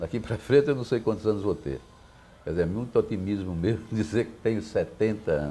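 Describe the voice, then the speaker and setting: With a fairly low pitch and a dark, mellow tone, a man speaks at a fairly quick pace with lively intonation and vocal fry. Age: 70s. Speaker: poet. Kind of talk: interview.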